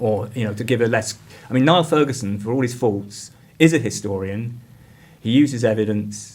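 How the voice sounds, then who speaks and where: A man speaks with an English accent at a medium pitch and a moderate pace. Vocal fry runs through his voice. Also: ordinary pitch variation. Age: 50s. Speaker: community arts director and PhD researcher. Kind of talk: podcast interview. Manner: halting, with many fillers and restarts.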